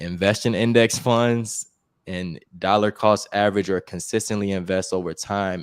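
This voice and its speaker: A normal speaking voice from a man with an American accent, fairly low pitch and moderate pace, in a very clean recording with a silent background. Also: dry, close sound with no echo. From Chicago, US. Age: 30s. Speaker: investing YouTuber. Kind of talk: casual interview.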